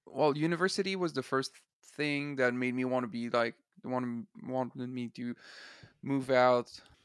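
Man with a Quebec accent, medium pitch and ordinary pitch variation, long, frequent pauses, in a dry, close sound with no echo. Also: moderate pace. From Eastern Quebec. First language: French. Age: 20s. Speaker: singer-songwriter. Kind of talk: casual chat. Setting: video call. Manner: halting.

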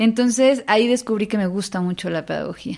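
A woman with a Mexican accent, animated tone, fairly quick pace and ordinary pitch variation. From Xalapa, Veracruz, Mexico. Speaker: theatre director and playwright. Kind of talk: interview conversation.

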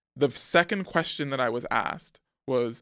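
The speaker has an American accent, and the recording is very clean with a silent background. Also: man. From New York City, the Bronx. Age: 30s. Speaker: screenwriter. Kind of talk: casual chat.

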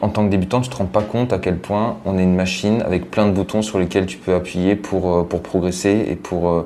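A man with a very deep, low voice speaks at a fairly slow pace with fairly even intonation. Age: 20s. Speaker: triathlete and social media influencer. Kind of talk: casual interview.

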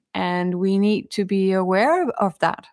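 A woman with a Danish accent talks at a very slow pace in a medium pitch. The recording is very clean, with a silent background. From Denmark. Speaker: author and sustainability leader. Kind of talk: interview.

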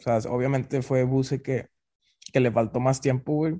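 A fairly high-pitched man's voice, dark and mellow in tone, at a fairly slow pace. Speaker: football podcast co-host. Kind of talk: casual chat.

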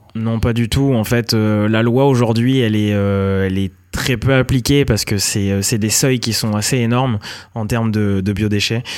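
On a very clean recording with a silent background, a man speaks at a fairly slow pace in a medium pitch with fairly even intonation. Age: 30s. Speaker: mushroom farmer, entrepreneur. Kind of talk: interview. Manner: hesitant, many fillers.

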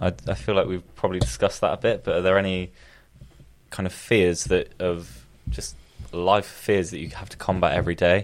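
A man's very deep, low voice with vocal fry, a fairly quick pace, ordinary pitch variation, and big swings in loudness. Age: 20s. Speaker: podcast co-host. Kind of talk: casual chat.

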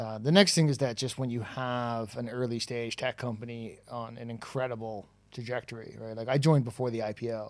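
A man's plain, everyday voice at a fairly quick pace with fairly even intonation. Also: medium pitch for a man. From Toronto, Canada. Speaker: recruitment tech founder. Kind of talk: casual interview chat. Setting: in person, live event.

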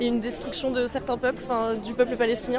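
With music in the background, a woman talks at a fairly quick pace in a high pitch. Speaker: reporter. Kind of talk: street interview. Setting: outdoors. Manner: casual, hesitant.

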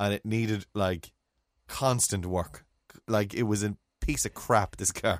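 A man with an Irish accent and a fairly low pitch speaks at a fairly slow pace, with fairly even intonation and long, frequent pauses, in a dry, close recording with no echo that is very clean, with a silent background. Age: 40s. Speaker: podcast co-host. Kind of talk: casual chat.

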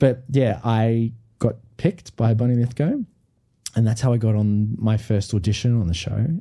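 A man speaks at a moderate pace in a dark, mellow tone that is somewhat breathy. His pitch varies in an ordinary way and his loudness stays very even. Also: medium pitch for a man. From Australia, Brisbane. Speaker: musical theatre performer. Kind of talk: casual chat. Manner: animated.

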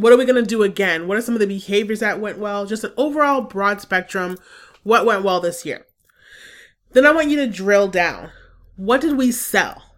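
A woman's animated, enthusiastic tone at a medium pitch with ordinary pitch variation, in a very clean recording with a silent background. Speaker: business coach podcaster. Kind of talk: scripted-style solo podcast monologue, coaching. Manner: fast talker.

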